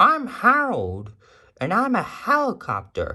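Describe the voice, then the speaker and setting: A put-on character voice at a fairly slow pace over a quiet background. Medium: read story.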